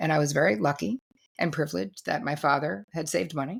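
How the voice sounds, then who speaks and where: A woman talks at a very fast pace with an American accent and vocal fry. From New Jersey, US. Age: 60s. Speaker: therapist and author. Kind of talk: interview conversation.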